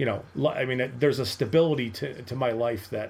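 At a moderate pace, a man talks in a medium pitch that is somewhat breathy, with ordinary pitch variation. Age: 40s. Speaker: football writer and scout. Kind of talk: interview.

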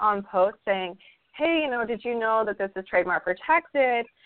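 In an ordinary speaking voice, a woman with an American accent speaks with a fairly high pitch and lively intonation. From Idaho, US. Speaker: crochet designer. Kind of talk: casual interview.

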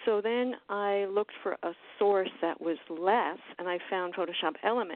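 A woman uses a plain, everyday voice at a medium pitch. Her intonation stays fairly even at a moderate pace. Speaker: artist and astrologer. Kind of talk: casual chat.

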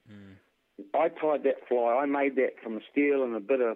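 A man speaks at a medium pitch with a New Zealand accent. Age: 40s. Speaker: ammunition reloader and hunter. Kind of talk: casual interview. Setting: phone call.

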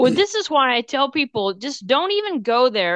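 A woman talks at a moderate pace with very wide pitch swings. The sound is dry and close with no echo, and the background is quiet. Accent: Texan. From Texas. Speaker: pet nutritionist. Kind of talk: casual chat.

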